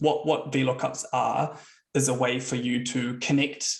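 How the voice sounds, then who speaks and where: Speaking with a New Zealand accent, a man uses fairly even intonation at a medium pitch, with vocal fry. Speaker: software consultant and founder. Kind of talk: webinar presentation. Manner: casual, with frequent fillers.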